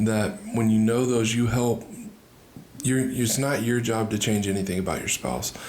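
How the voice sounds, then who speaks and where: A soft-spoken man talks at a moderate pace in a medium pitch with monotone, flat intonation, amid noticeable background noise and audible room echo. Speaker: marriage podcast co-host. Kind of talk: casual chat.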